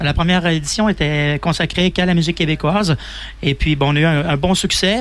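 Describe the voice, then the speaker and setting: A man talks at a fairly quick pace. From Quebec, Donnacona near Quebec City. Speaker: festival organizer. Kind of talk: radio interview. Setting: outdoor live radio broadcast.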